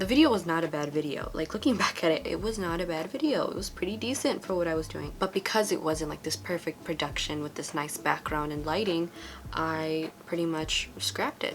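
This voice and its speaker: A woman with an American accent and a fairly low voice talks at a fairly quick pace with lively intonation and hardly any pauses, over noticeable background noise. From US West Coast, Los Angeles. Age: 20s. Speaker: beauty vlogger. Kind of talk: casual vlog monologue while doing makeup.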